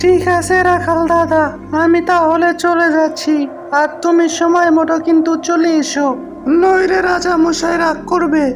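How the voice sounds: Over clear music in the background, a cartoonish character voice at an extremely high pitch speaks at a fairly slow pace.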